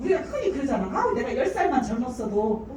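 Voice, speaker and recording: A woman with a high voice swings very widely in pitch, with noticeable background noise and audible room echo. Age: 60s. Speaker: business owner giving a presentation. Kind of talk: sales presentation. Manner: casual and chatty, many fillers.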